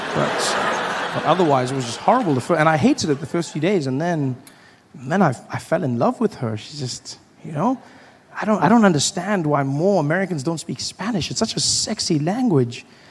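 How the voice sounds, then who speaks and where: With a South African accent, a man speaks at a fairly high pitch that swings very widely. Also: fairly quick pace. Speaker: stand-up comedian. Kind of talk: stand-up comedy set. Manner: casual, storytelling.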